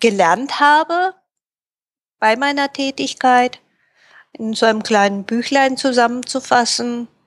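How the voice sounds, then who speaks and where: Speaking fairly slowly at a high pitch with ordinary pitch variation, a woman is captured in a very clean recording with a silent background and a dry, close sound with no echo. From Japan and Germany, raised bilingual. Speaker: Japanese-German interpreter and translator. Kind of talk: interview.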